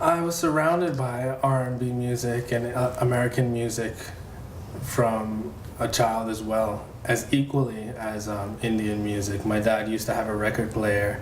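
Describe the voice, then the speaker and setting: Speaking at a moderate pace, a man with a medium pitch and ordinary pitch variation comes through noticeable background noise. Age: young. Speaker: singer. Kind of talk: interview answer.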